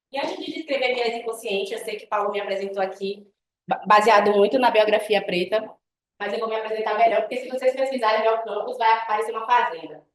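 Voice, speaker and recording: Speaking at a very fast pace, a woman with a fairly high pitch shows ordinary pitch variation and big swings in loudness. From Northeast Brazil, Bahia. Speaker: guest lecturer, web designer. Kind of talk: guest lecture with personal story. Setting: university classroom.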